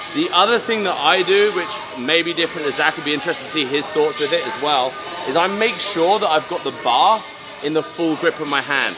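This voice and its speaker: A man speaks at a fairly quick pace while clear music plays in the background. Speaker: weightlifting athlete coach. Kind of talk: tutorial. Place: gym.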